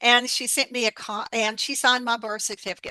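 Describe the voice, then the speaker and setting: Recorded dry and close with no echo over a quiet background, a woman speaks in a bright, sharp tone. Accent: Appalachian. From Appalachia, US South (Alabama). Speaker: herbalist and author. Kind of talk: interview. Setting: radio interview.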